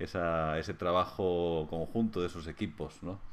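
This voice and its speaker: A man speaks at a moderate pace. His pitch is very deep and low. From Spain, Madrid. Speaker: physiotherapy lecturer. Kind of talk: interview conversation. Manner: halting, many hesitations. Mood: warm, smiling, relaxed. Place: home room. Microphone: video call.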